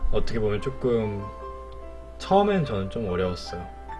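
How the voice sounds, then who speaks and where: With music playing in the background, a man speaks with very wide swings in pitch. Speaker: streamer. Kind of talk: casual talk about a poem.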